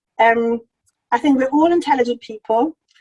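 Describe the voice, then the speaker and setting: With a dark, mellow tone, a woman talks at a moderate pace in a dry, close sound with no echo. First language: not English. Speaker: charity chief executive. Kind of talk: lecture.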